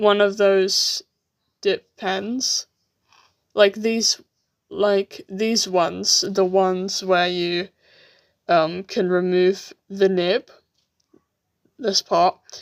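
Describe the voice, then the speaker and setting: In a British accent, a woman speaks very slowly at a medium pitch with fairly even intonation and long, frequent pauses, in a dry, close sound with no echo. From UK. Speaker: artist live-streamer. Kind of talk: live stream chat while drawing. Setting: live stream. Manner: halting.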